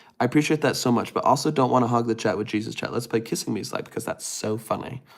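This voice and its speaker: A man with an American accent, a medium pitch, vocal fry, ordinary pitch variation and a very fast pace. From US West (California). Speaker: streamer. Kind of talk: casual chat. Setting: livestream. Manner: animated.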